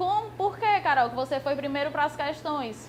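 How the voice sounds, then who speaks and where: A woman speaks with a high pitch. Her voice swings very widely up and down. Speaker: law exam prep teacher. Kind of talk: lecture. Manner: fast.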